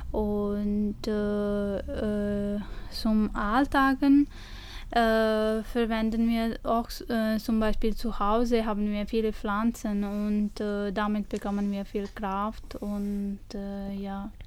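A woman's very slow, fairly high-pitched speech in a Punjabi accent, with monotone, flat intonation. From India, Punjab. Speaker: studio guest, history graduate. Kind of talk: radio interview. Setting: radio studio. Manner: halting, many hesitations.

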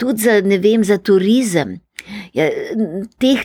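This woman's tone is dark and mellow, with ordinary pitch variation. The recording sounds dry and close, with no echo. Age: 80s+. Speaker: retired teacher and folklore collector. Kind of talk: interview. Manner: animated.

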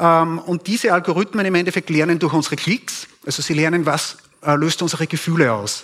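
A high-pitched man talks fairly quickly amid noticeable background noise. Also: ordinary pitch variation. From Upper Austria (Steyr). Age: 40s. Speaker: propaganda researcher. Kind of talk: conference talk. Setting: stage with audience.

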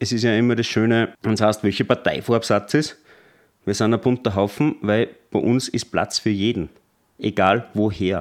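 In a normal speaking voice, the speaker keeps a moderate pace, very even loudness and fairly even intonation. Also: man, fairly low pitch for a man. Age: 30s. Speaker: party spokesman. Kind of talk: interview.

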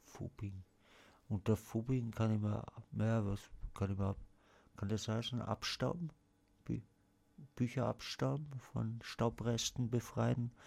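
A man speaks at a medium pitch and a very slow pace, leaving long, frequent pauses. His pitch varies in an ordinary way, and the recording is very clean with a silent background. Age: 40s. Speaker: radio host. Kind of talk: casual chat. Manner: halting.

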